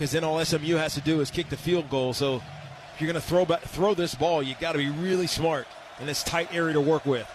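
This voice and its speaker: A man with an ordinary speaking voice, fairly high in pitch, talks at a fairly quick pace with fairly even intonation. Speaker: color analyst / broadcast partner. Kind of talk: football analysis commentary.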